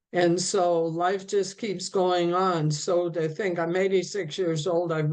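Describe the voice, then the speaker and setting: Speaking with hardly any pauses, a woman keeps a fairly low, monotone, flat delivery at a fairly slow pace. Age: 80s+. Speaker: minister. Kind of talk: sermon.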